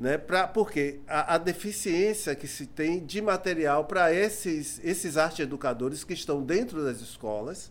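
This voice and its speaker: This man talks at a fairly slow pace with hardly any pauses, his pitch fairly high and its variation ordinary. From Salvador, Bahia, Brazil (Cidade Baixa). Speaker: musician and music teacher. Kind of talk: casual interview chat. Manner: halting, many repetitions.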